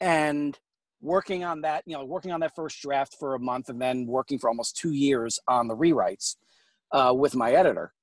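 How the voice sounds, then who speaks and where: A man with an American accent and a plain, everyday voice speaks at a fairly high pitch in a very clean recording with a silent background, the sound dry and close with no echo. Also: ordinary pitch variation, moderate pace. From New York. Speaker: fiction author. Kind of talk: interview.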